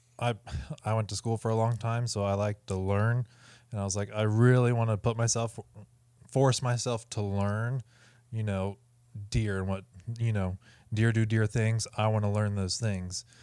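With an American accent, a man speaks at a moderate pace in a fairly low pitch, his intonation monotone and flat. Long, frequent pauses break up his speech. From US Midwest (Ohio). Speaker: hunting expo organizer and content creator. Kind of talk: casual chat. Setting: recorded at a hunting expo.

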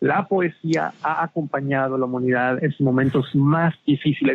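A man is talking. He keeps a fairly slow pace. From Mexico. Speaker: television critic. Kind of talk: interview. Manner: animated.

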